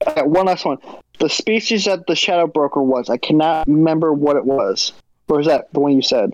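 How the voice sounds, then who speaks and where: At a fairly quick pace, a man with a plain, everyday voice talks at a fairly high pitch, with ordinary pitch variation and very even loudness. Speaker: patron chat participant. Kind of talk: casual group chat. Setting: live video chat.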